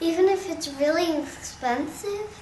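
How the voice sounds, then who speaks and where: An extremely high, put-on character voice moves at a fairly slow pace. Clear background noise runs underneath. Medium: comedy sketch. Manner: chatty, teasing.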